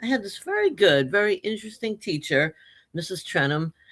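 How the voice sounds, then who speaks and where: Her tone is bright and sharp as the woman talks. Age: 70s. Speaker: retired teacher and children's author. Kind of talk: interview.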